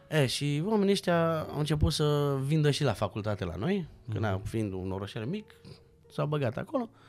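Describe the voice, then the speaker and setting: Music plays in the background as a man at a fairly high pitch talks at a moderate pace with very wide pitch swings. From Romania, Bucharest. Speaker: actor and stuntman. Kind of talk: casual chat.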